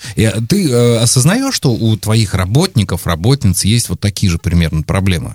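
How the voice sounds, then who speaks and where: A man speaks at a moderate pace with hardly any pauses, his pitch fairly low and his intonation lively. The voice is somewhat breathy, and the sound is dry and close with no echo. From Volgograd region, Russia. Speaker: podcast host. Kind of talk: interview.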